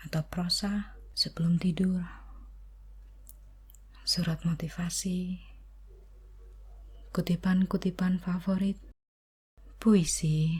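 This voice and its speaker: Soft-spoken and very slow, the speech is broken by long, frequent pauses. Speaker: ASMR content creator. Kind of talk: ASMR soft-spoken channel introduction to camera.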